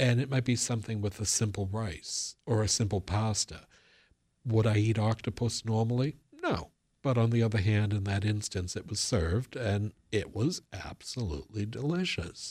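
On a very clean recording with a silent background, a man with a fairly low, somewhat breathy voice talks at a moderate pace with ordinary pitch variation. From Boston area, US. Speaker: local historian and author. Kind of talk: radio interview.

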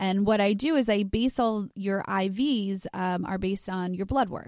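In a very clean recording with a silent background and a dry, close sound with no echo, a woman uses a normal speaking voice at a medium pitch, with ordinary variation and a moderate pace. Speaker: doctor. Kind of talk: infomercial hard-sell pitch with urgent call to action. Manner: earnest, persuasive, brisk sales tone.

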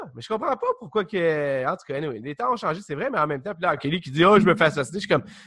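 This man, with a Quebec accent, talks at a very fast pace with hardly any pauses, his fairly high-pitched voice bright and sharp in tone, with lively intonation and big swings in loudness. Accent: Québécois French. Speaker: podcast co-host. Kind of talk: casual chat.

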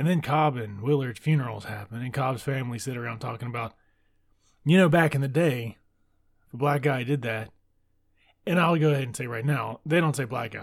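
This man has a medium-pitched voice with an American accent. He sounds somewhat breathy, with ordinary pitch variation. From US South, deep south Mississippi. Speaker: book podcast host. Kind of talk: casual book discussion monologue. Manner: casual, laughs often.

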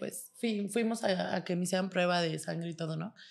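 A woman's medium-pitched voice, a plain, everyday voice, at a fairly quick pace. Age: 20s. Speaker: model and online content creator. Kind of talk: casual chat.

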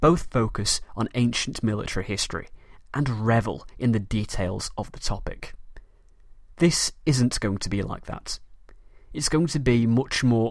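Here a man speaks in a Manchester accent. His pitch is medium. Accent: Mancunian northern English. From Manchester, northern England. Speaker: history podcast host. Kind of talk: scripted educational podcast narration.

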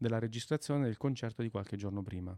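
A man talks at a medium pitch with ordinary pitch variation. The sound is dry and close with no echo, over a quiet background. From Italy, province of Fermo (Marche). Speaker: bass player and teacher. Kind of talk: casual interview. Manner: animated.

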